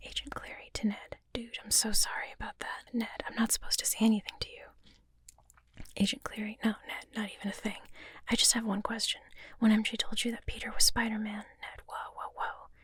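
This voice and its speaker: Someone is whispering. The pace is fairly quick. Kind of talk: script reading.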